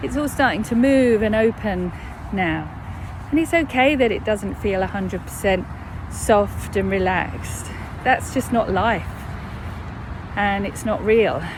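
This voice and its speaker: A woman with a southern English accent, fairly slow with long, frequent pauses, amid noticeable background noise and audible room echo. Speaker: mindfulness coach. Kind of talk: guided meditation. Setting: outdoors. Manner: slowing down over time.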